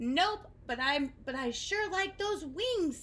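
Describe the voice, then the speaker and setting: An extremely high-pitched put-on character voice from a woman, with very wide pitch swings, a fairly slow pace and clear background noise. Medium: read story.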